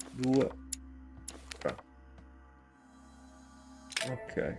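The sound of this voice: A man speaks at a very slow pace in a dark, mellow tone. Faint music plays in the background.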